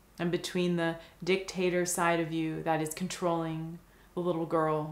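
In a room with audible echo, a woman speaks with a fairly low pitch and a monotone, flat intonation. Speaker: meditation guide. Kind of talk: guided visualization meditation. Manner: slow, soft-spoken. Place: home room.

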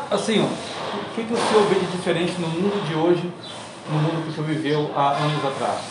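Speech comes at a fairly quick pace with long, frequent pauses, audible room echo and loud background noise. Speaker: podcast host interviewer. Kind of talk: interview. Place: street. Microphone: phone near.

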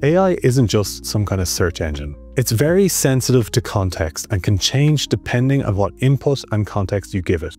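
A man speaks in a dry sound with no echo while faint music plays in the background. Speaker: tech tutorial creator. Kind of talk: tutorial. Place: home room.

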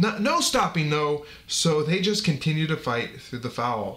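In an American accent, a man projects a raised voice at a fairly slow pace, his pitch swinging very widely. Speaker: podcast host. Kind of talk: fight commentary. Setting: home recording with friends.

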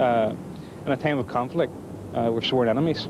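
Delivered at a fairly quick pace with ordinary pitch variation, the speech has a dry sound with no echo and noticeable background noise. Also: man. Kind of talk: interview answer. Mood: firm, mildly uneasy. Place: street.

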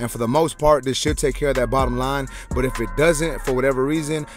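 A man talks at a very fast pace with fairly even intonation. The sound is dry with no echo, and music plays in the background. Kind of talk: tutorial.

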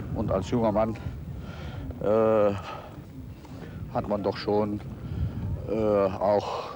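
Noticeable background noise surrounds a man with a fairly low pitch. The sound is dry, with no echo. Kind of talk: interview answer. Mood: reflective, hesitant recollection. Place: open country.

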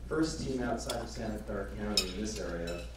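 Strong room echo fills the space around a man's voice. Noticeable background noise is also present. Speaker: event host introducing speakers. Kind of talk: formal speaker introduction. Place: hall.

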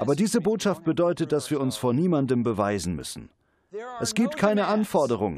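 The speech moves at a moderate pace with vocal fry and very wide pitch swings. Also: man. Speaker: preacher. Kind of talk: sermon, preacher in full flow, direct address to the congregation. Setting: church with congregation, televised service. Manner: emphatic, rhythmic, driving repetition of "Sie müssen nicht..."; warm, earnest, pastoral.

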